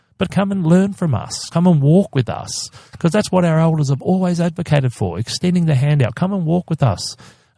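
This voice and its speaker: A man with a high pitch speaks at a fairly quick pace in a dark, mellow, passionate tone, with ordinary pitch variation and a dry, close sound with no echo. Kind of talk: interview, advocacy. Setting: podcast interview. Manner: passionate, emphatic.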